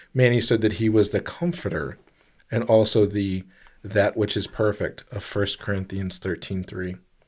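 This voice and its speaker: Speaking at a moderate pace, a man has a fairly low pitch and an American accent. His pitch varies in an ordinary way, and he has a normal speaking voice. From lived overseas as a child, American. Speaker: podcast co-host. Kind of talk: casual chat. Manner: joking, playful.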